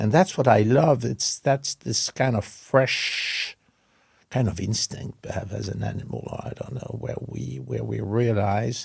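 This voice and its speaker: A man with a French accent speaks at a fairly slow pace with vocal fry and lively intonation, the sound dry and close with no echo. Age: 70s. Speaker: interior design company creative director. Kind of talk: interview. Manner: halting.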